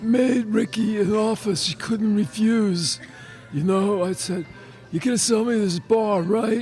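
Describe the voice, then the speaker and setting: Over clear music in the background, a man puts on a character voice that sits high for a man, moving at a fairly slow pace with ordinary pitch variation. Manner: menacing, tough.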